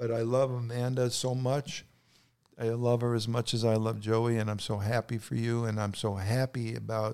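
A man with a New York accent speaks at a moderate pace and a medium pitch. His intonation is monotone and flat, and his tone is dark and mellow. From New York City. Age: 80s+. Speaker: podcast guest, grandfather. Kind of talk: casual chat, storytelling.

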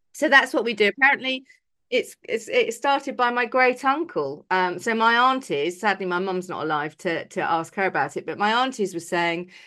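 With an English accent, a woman speaks in a bright, sharp tone at a moderate pace, her pitch swinging very widely against a quiet background. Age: 50s. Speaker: podcast co-host. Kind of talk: casual chat.

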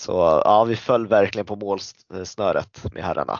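Fairly low in pitch, a man talks with fairly even intonation. His pace is fairly slow. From Sweden, Stockholm area. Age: 30s. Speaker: floorball player and club leader. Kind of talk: casual interview.

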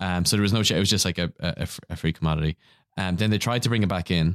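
A very fast man with a very deep, low pitch and an Irish accent, fairly even intonation, dry, close sound with no echo, very clean recording on a silent background. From Ireland. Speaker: podcaster. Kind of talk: casual chat.

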